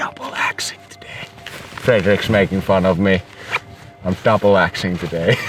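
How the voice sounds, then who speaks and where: Over background music, a man with a Finnish accent talks at a moderate pace with a very deep, low pitch. His intonation is monotone and flat, broken by long, frequent pauses. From Finland. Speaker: professional snowboarder. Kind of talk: vlog commentary.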